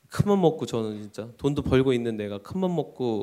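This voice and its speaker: A man's dark, mellow tone is heard on a very clean recording with a silent background. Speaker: custom suit company CEO. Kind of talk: interview on live talk show. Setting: stage with audience. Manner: halting.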